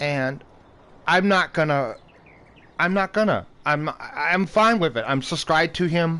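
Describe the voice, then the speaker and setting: A high-pitched man's voice with a bright, sharp tone, ordinary pitch variation, a fairly slow pace and long, frequent pauses. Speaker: gaming youtuber. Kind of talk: casual gameplay commentary. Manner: halting, stuttering.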